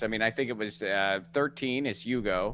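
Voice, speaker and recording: A man's bright, sharp tone with an American accent, on a very clean recording with a silent background. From US, Italian American family. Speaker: comedian and activist. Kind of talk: casual interview chat.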